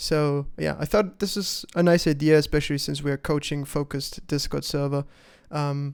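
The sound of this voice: On a very clean recording with a silent background, a man with vocal fry speaks at a fairly high pitch that moves little.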